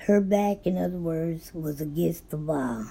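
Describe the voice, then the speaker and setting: A woman with a fairly low pitch speaks in a dark, mellow tone with ordinary pitch variation. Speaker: book recap youtuber. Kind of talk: book summary monologue. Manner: voice goes in and out; casual with fillers and self-corrections.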